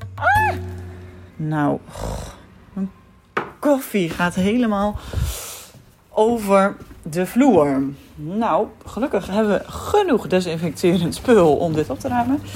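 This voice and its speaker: Noticeable background noise sits behind a woman who speaks at a medium pitch and a very slow pace, with lively intonation and long, frequent pauses. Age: 20s. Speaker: primary school teacher. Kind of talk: audio diary.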